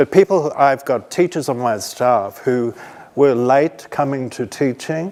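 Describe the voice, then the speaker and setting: A man with an Australian accent, medium pitch, ordinary pitch variation and a moderate pace, over noticeable background noise. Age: 60s. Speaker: teacher. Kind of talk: conference talk.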